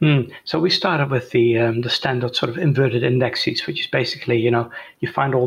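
A man with a Dutch accent talks at a fairly quick pace, somewhat breathy, with medium pitch. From Netherlands. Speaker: software entrepreneur. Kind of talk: interview. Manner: hesitant, many fillers.

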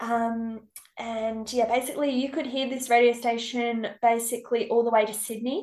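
In an Australian accent, a woman speaks with flat, monotone intonation at a fairly high pitch. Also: moderate pace. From South Australia, Riverland. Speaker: accommodation business owner. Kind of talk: casual interview. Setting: video call. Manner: halting.

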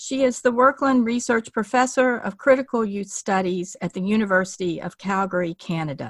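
In an unremarkable speaking voice, a woman at medium pitch talks at a moderate pace with lively intonation and hardly any pauses, the sound dry and close with no echo. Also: very clean recording, silent background. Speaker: podcast host. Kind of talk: interview.

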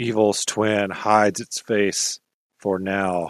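A man drawls out a put-on character voice at a very slow pace. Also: fairly low pitch for a man. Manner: eerie, ominous.

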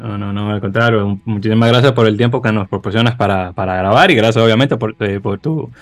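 This is an ordinary speaking voice with fairly even intonation. The pace is fairly quick. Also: man. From Dominican Republic, Santo Domingo. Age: 30s. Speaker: podcast host. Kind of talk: casual chat.

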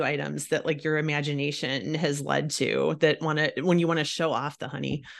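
A woman speaks at a fairly quick pace with vocal fry. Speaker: podcast host. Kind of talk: casual interview. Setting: video call.

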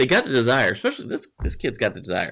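A man with an American accent has a bright, sharp tone, recorded very cleanly against a silent background. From northwest Montana, US. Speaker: cybersecurity news show host. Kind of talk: live-streamed news chat. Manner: halting, repeats words.

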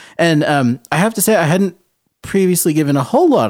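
Speaking at a fairly quick pace with lively intonation, a man uses a normal speaking voice with an American accent. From New England (Rhode Island, Boston area). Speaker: orchestral flutist, podcast co-host. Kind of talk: casual chat.

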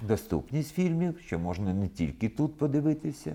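Dark and mellow in tone, a man's medium-pitched voice moves at a moderate pace. His pitch swings very widely. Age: 70s. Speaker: film festival director. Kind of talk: interview.

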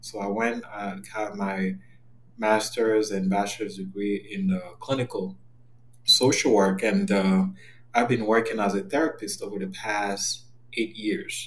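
At a fairly slow pace, a man with a French accent speaks at a fairly low pitch with fairly even intonation. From Cameroon. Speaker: therapist. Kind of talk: interview.

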